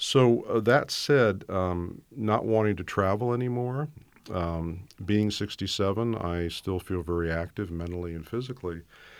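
A man's fairly low voice, an ordinary speaking voice, moderately paced and with ordinary pitch variation. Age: 60s. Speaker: author and coach. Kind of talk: interview conversation.

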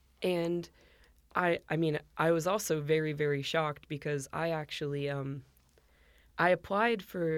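The speaker has an American accent and fairly even intonation at a fairly slow pace. The recording is very clean, with a silent background. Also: woman. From US, Northern Virginia. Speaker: emergency management outreach staff. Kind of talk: podcast interview.

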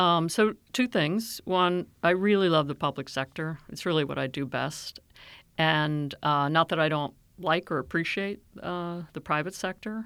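A woman's fairly low, fairly slow delivery in a normal speaking voice, with ordinary pitch variation and a very clean recording over a silent background. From Maryland, US (Silver Spring). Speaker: county government executive, urban planner. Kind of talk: interview.

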